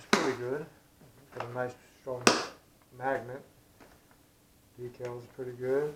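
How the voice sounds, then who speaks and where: Against noticeable background noise, a man talks at a fairly slow pace in a monotone, flat intonation, with long, frequent pauses and big swings in loudness. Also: medium pitch for a man. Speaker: aerospace worker, RC plane hobbyist. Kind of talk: casual unboxing talk to camera.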